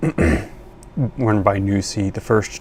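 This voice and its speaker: Soft-spoken and fairly low in pitch, a man talks over noticeable background noise. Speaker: science video creator. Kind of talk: video commentary on research. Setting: at home at night. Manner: quiet, soft-spoken. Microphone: new microphone.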